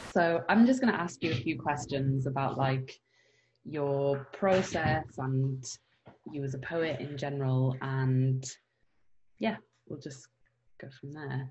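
A woman with a very deep, low pitch speaks at a fairly slow pace, somewhat breathy and with ordinary pitch variation. Long, frequent pauses and big swings in loudness mark her delivery. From Scarborough, England. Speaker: actor and poet, interviewer. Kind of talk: interview. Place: home room.

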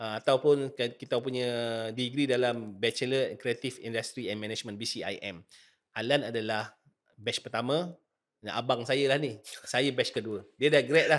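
A plain, everyday voice speaks at a fairly slow pace with ordinary pitch variation. The background is quiet. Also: man, medium pitch for a man. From Malaysia. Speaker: nasyid singer and podcast host; podcast host. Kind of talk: casual interview chat. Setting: studio. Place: studio. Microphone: studio mic.

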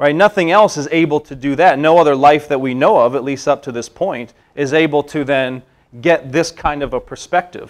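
At a moderate pace, a man talks with ordinary pitch variation against a quiet background. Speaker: presenter. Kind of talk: lecture. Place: meeting room.

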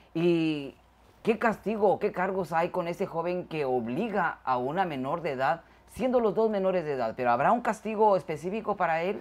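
Her intonation is lively, and the pitch is fairly low. A woman speaks in an ordinary speaking voice at a moderate pace. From Guatemala. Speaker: show host. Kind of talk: casual chat.

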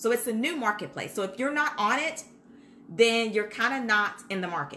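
A woman's fairly high voice at a moderate pace, animated in tone and lively in intonation. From Kentucky, US. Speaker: childcare business consultant. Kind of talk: live-streamed tutorial. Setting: Facebook Live video stream. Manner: casual, animated.

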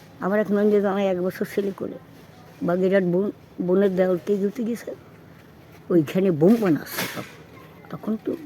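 A woman with a mid-range pitch talks in fairly even intonation while noticeable background noise plays behind her. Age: 80s+. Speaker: elderly local resident. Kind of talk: oral history interview. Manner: outspoken.

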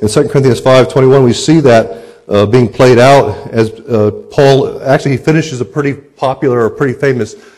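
A man's voice at a moderate pace, fairly even intonation, quiet background. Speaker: preacher. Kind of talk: sermon. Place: church.

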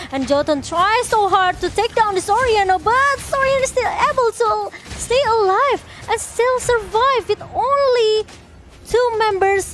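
With music in the background, a woman speaks at an extremely high pitch and a fairly slow pace, her intonation lively and her loudness very even. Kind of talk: esports shoutcasting.

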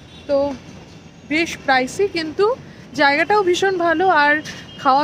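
The sound is dry with no echo, and light background noise is present. The voice shows ordinary pitch variation. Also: woman. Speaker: travel vlogger. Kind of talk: casual vlog chat. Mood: pleased but complaining about price. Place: street. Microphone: phone near.

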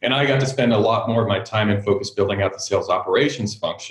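A man talks at a very fast pace. Audible echo from the room surrounds his voice. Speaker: guest. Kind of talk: interview answer. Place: home room. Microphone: video call.

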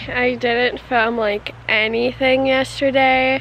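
Over music in the background, a woman speaks at a high pitch with ordinary pitch variation, the sound dry with no echo. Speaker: vlogger. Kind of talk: casual vlog chat. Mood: cheerful despite feeling unwell. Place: waterside. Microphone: phone near.

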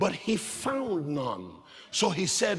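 A man's raised, projected voice with an animated tone and very wide pitch swings at a fairly slow pace. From Nigeria. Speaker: preacher. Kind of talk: sermon, live preaching to a congregation, building a list of urgent hardships. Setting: church. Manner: animated, emphatic, rhythmic repetition that builds intensity. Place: church.

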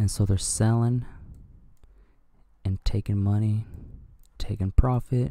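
Quiet, somewhat breathy male voice, fairly low in pitch and dark and mellow in tone, with fairly even intonation in a dry, close sound with no echo. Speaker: crypto YouTuber. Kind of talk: casual market commentary. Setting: at home early morning. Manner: quiet, talking low.

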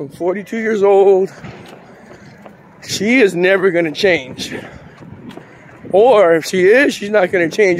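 Over light background noise, a man talks at a fairly slow pace in a high voice with ordinary pitch variation and a dry sound with no echo. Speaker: vlogger. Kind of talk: casual vlog chat. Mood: reflective, determined. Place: street. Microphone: phone near.

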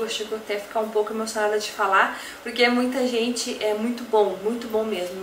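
A woman speaks at a fairly quick pace in a monotone, flat intonation. Audible room echo and light background noise are present. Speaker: beauty product seller. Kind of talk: casual vlog chat. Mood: warm, grateful, a bit emotional. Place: home room.

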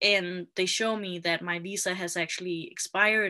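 Against a quiet background, a woman speaks at a moderate pace in a bright, sharp tone with fairly even intonation. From Denmark. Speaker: video marketing specialist. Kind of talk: interview guest, personal story. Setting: remote live video call. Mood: animated storytelling. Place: home room. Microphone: video call.

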